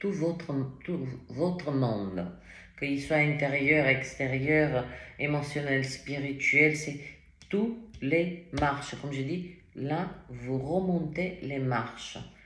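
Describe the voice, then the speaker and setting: A woman's very deep, low pitch at a very slow pace, ordinary pitch variation, audible room echo and noticeable background noise. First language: not French (speaking French). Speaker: tarot reader. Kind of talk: tarot reading. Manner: animated, with many fillers.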